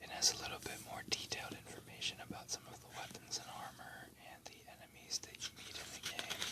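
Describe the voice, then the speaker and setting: A medium-paced whisper with noticeable noise behind it. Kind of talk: whispered ASMR book flip-through narration; casual talk to camera. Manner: whispered, soft-spoken.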